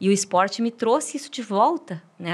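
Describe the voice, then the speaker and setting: A woman with an unremarkable speaking voice talks at a medium pitch. The recording is very clean, with a silent background. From Brazil, interior of Paraná. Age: 40s. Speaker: marathon runner. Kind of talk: podcast interview. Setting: studio.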